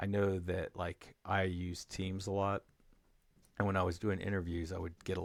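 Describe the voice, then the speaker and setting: A man's very deep, low-pitched voice, monotone and flat, in a very clean recording with a silent background. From New Mexico. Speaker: software developer vlogger. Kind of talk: casual tech vlog monologue. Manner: slow; halting, many fillers.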